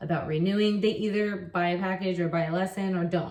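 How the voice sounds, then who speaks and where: At a fairly quick pace, a woman speaks with an American accent. Her pitch is fairly low, with ordinary variation. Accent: very American. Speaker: online English teacher. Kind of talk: casual vlog talk. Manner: casual, with fillers and repetitions.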